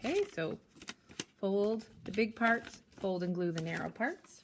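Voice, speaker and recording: A woman's plain, everyday voice at medium pitch, fairly slow, with ordinary pitch variation. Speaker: primary school teacher. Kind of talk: tutorial. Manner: casual, with fillers.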